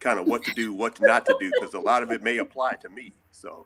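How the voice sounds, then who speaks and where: At a moderate pace, a man talks in an American accent. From Texas, Houston. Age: 60s. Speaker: oil and gas worker. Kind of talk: casual panel talk show. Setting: video call.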